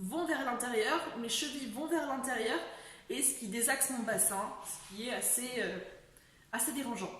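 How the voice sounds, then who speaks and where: A woman speaks high and fairly slowly, with long, frequent pauses and ordinary pitch variation. Background noise is noticeable. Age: 20s. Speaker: person living with a chronic illness. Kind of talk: casual talk to camera.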